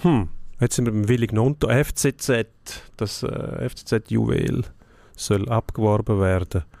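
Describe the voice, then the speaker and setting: At a very slow pace with long, frequent pauses, a man speaks in a fairly low pitch and a dark, mellow tone with ordinary pitch variation, in a very clean, dry, close recording with a silent background and no echo. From Switzerland, outside Zurich. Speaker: sports journalist. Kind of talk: casual sports debate.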